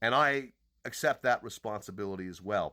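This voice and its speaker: Loud and animated, a man speaks at a moderate pace in a fairly low voice with a bright, sharp tone. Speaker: podcaster and online commentator. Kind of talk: angry personal monologue. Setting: social media video.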